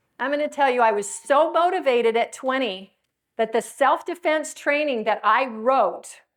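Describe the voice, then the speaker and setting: With an animated tone and lively intonation, a woman speaks at a high pitch on a very clean recording with a silent background. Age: 50s. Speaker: self-defense speaker. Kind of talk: motivational talk.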